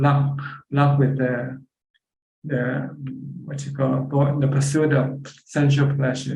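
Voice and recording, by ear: With strong room echo, a man speaks at a fairly slow pace in a dark, mellow tone, medium in pitch with little pitch movement.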